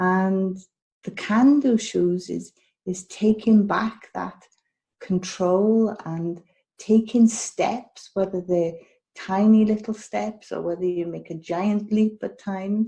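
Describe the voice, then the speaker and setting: A woman with a Welsh accent speaks at a very slow pace, somewhat breathy, with a dark, mellow tone and fairly even intonation. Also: medium pitch for a woman. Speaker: health and wellness coach. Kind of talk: interview podcast. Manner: repetitive, hesitant phrasing.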